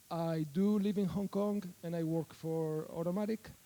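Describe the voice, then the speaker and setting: Spoken at a fairly slow pace with a slight Spanish accent, the voice has a dark, mellow tone and fairly even intonation. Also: man. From Spain. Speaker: software developer, conference speaker. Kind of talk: conference talk. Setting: stage with audience. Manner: hesitant with fillers and repetitions.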